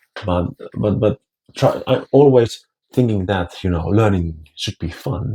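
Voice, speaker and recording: Speaking with a Finnish accent, a man uses a fairly low, somewhat breathy voice with a dark, mellow tone and lively intonation at a fairly slow pace, with a dry, close sound with no echo. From Finland. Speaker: language teacher and vlogger. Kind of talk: casual talk to camera. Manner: halting, many repetitions.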